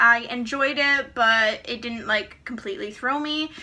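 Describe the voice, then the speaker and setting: A woman's high-pitched, raised and projected voice, animated and bright with a sharp edge, lively in its intonation, at a fairly slow pace. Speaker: booktuber. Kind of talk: casual vlog book haul. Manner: chatty, animated.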